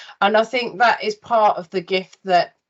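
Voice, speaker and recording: Here a woman is speaking. She has a Birmingham accent. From Birmingham, England. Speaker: interviewer, recruitment business owner. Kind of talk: interview conversation.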